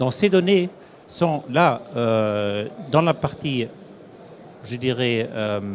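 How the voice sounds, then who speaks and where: This man talks with lively intonation at a medium pitch. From Germany. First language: German (speaking French). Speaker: industry executive. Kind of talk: interview. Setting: trade show studio set. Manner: halting.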